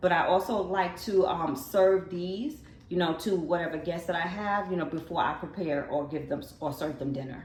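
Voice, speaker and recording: A woman talks at a moderate pace in a fairly low voice. Her pitch varies an ordinary amount, and noticeable background noise is present. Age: 50s. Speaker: lifestyle vlogger. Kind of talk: casual talk to camera.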